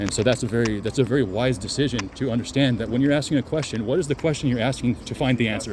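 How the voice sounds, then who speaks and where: A man talks at a very fast pace with hardly any pauses, his medium pitch showing ordinary variation. There is noticeable background noise. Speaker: self-help video creator. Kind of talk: casual monologue. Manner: repetitive, stumbling.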